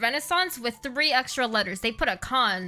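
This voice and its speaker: A woman speaks in a raised, projected voice at a high pitch and a fairly quick pace. Her tone is bright and sharp. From immigrant to English-speaking country. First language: not English. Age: 20s. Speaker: vtuber streamer. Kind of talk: casual game stream with reading aloud. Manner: animated.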